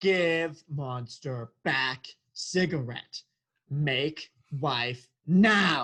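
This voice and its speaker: Someone uses a put-on character voice at a middle pitch, going at a very slow pace. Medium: stage play. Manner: broken third-person speech.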